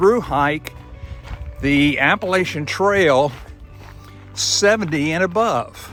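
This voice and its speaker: Music plays behind a man speaking very slowly. His voice is high in pitch. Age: 70s. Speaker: long-distance hiker. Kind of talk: casual talk to camera.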